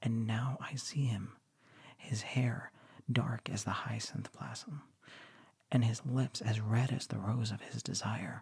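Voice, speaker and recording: Soft-spoken and somewhat breathy, a man talks in a relaxed tone at a fairly slow pace. His pitch is medium, with ordinary pitch variation. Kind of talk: literary story reading. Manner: soft-spoken, relaxed.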